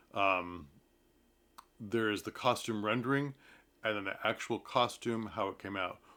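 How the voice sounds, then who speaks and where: A man with an American accent and a plain, everyday voice talks at a fairly quick pace in a fairly low pitch, on a very clean recording with a silent background. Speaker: theatre commentator vlogger. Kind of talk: casual talk to camera about a play. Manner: conversational with fillers.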